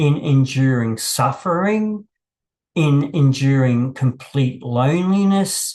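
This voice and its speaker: A man with a fairly high voice, somewhat breathy, speaks at a very slow pace. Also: lively intonation. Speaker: YouTube channel host. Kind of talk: impromptu reflective monologue. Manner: halting, many fillers and repetitions.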